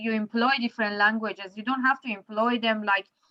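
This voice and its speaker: With an Iranian accent, a woman's bright, sharp tone holds a fairly high pitch in monotone, flat intonation. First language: Farsi. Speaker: poet. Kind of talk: casual chat. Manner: halting.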